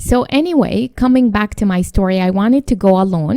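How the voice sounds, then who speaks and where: A woman with a non-native accent speaks at a moderate pace and medium pitch, her tone dark and mellow, with ordinary pitch variation and a dry, close sound with no echo. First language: not English. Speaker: podcast co-host. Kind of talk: casual chat.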